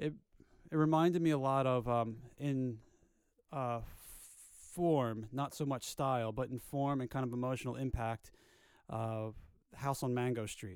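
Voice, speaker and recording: On a very clean recording with a silent background, a man of medium pitch speaks at a moderate pace with fairly even intonation and long, frequent pauses. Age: 30s. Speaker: podcast co-host. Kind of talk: casual chat.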